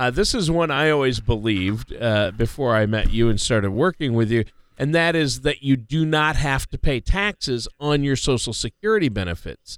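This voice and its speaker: A man with a plain, everyday voice, at a medium pitch, speaks at a moderate pace with lively intonation and hardly any pauses, in a very clean recording with a silent background and a dry, close sound with no echo. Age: 50s. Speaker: radio co-host and announcer. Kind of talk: casual chat.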